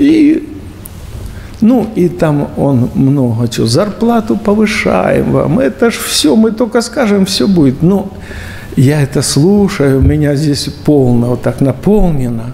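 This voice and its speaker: A man's voice swings very widely in pitch at a very slow pace. Light background noise is present. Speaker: bishop, preacher. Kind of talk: sermon. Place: church.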